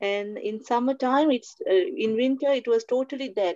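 Her pitch is high and her pace fairly slow. The woman is heard against a quiet background. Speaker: church member giving testimony. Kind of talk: testimony. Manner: halting. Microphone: video call.

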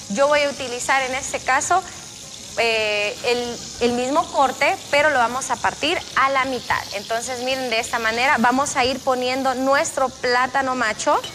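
Music plays in the background as a woman speaks. Her voice is raised and projected, at a fairly slow pace. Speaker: TV cooking host. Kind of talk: cooking tutorial. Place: studio. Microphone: lapel.

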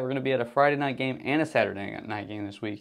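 Talking at a very fast pace, a man with an American accent has a fairly high pitch and lively intonation. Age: 20s. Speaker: sports podcast host. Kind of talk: casual chat.

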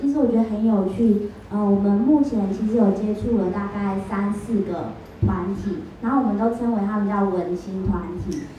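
Intonation stays fairly even at a moderate pace. Audible room echo sits over light background noise. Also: woman, medium pitch for a woman. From Taiwan, Minxiong (Chiayi); Taiwan. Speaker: student researcher presenting project; speaker. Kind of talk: presentation and Q&A answers. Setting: live event with audience. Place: hall.

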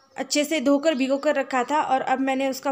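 A woman speaks at a moderate pace in a high voice. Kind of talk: tutorial. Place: kitchen.

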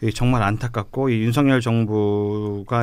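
The man speaks with a fairly low pitch. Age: young. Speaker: young politician, local election candidate; young politician, election candidate. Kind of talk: radio panel discussion. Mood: earnest, policy-focused. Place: studio. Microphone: studio mic.

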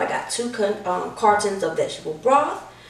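A woman speaks with audible room echo. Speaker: home cook host. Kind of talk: cooking tutorial. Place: kitchen. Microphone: camera far.

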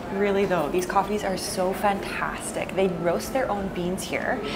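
A woman keeps a moderate pace while loud background noise carries on around her. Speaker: travel vlogger. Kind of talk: casual vlog chat. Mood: cheerful, enthusiastic. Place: cafe. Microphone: lapel.

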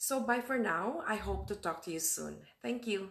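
A woman's voice with vocal fry at a moderate pace. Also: quiet background. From Philippines. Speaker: registered nurse and digital marketer. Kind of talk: casual talk to camera. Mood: warm, friendly. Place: home room. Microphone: webcam.

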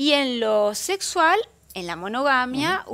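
The woman's tone is bright and sharp, with very wide pitch swings. She speaks at a fairly slow pace. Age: 50s. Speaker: psychologist and sex therapist; guest. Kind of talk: interview. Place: studio.

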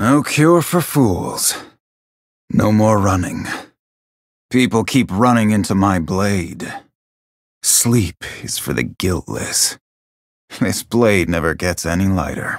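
In a put-on character voice pitched fairly low, a man speaks at a fairly slow pace with lively intonation and long, frequent pauses. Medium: video game voice lines. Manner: stoic, brooding.

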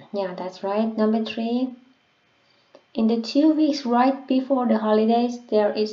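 This woman speaks at a fairly slow pace with a non-native accent. Her pitch sits fairly high. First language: not English. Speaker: English learner sharing listening practice. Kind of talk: casual tutorial talk to camera. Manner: hesitant, with fillers.

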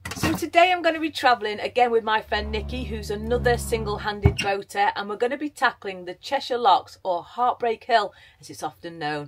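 Against a quiet background, a woman with an English accent talks at a fairly quick pace with hardly any pauses and big swings in loudness. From England. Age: middle-aged. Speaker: vlogger; boat-living vlogger. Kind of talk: casual vlog talk to camera. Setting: on a canal boat. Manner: animated. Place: boat. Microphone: phone near.

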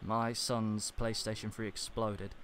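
A man at a medium pitch, fairly bright in tone, at a fairly slow pace.

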